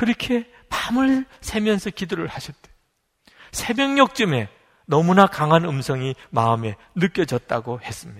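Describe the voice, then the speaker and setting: A man's high-pitched voice at a fairly slow pace, with very wide pitch swings and big swings in loudness, in a dry, close recording with no echo. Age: 50s. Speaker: pastor. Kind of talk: sermon.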